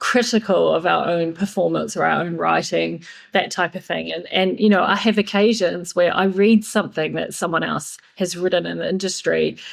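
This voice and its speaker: At a moderate pace, a woman speaks with a New Zealand accent. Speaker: yachting PR and marketing consultant. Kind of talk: podcast interview.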